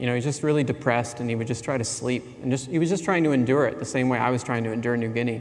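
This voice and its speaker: Ordinary pitch movement in a male voice, room echo audible around it. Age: 40s. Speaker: anthropology professor. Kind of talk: conference keynote.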